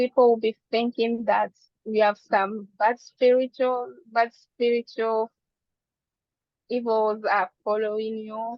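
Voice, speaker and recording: With a non-native accent, a woman speaks at a very slow pace in a fairly high pitch, her intonation monotone and flat. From Democratic Republic of the Congo. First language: not English. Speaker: physician. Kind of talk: presentation.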